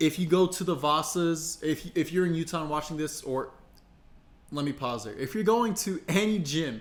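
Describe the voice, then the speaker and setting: Ordinary pitch variation colors a man's fairly high voice. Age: 20s. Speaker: online personal trainer. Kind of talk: casual tutorial to camera. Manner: fast.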